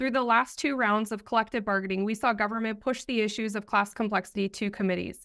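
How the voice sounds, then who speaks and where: A woman's fairly even intonation comes through over a quiet background. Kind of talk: press statement. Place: office. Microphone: earbuds.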